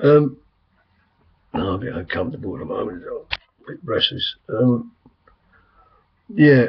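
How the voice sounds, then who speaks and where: A man with an English accent speaks at a moderate pace and a medium pitch, his voice somewhat breathy. His intonation is lively, broken by long, frequent pauses. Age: 60s. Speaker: vlogger. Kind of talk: casual chat. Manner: rambling, hesitant.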